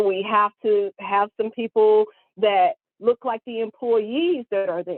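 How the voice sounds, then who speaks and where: A woman speaks with a Southern US accent. Her pitch is fairly high. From US South, Mississippi. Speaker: chemical industry data analyst. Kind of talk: interview.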